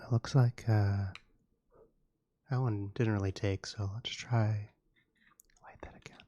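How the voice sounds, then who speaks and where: A soft-spoken man with a dark, mellow tone talks at a fairly slow, fairly low pitch in monotone, flat intonation, somewhat breathy, with big swings in loudness and long, frequent pauses, in a dry, close sound with no echo. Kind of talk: ASMR talk to camera.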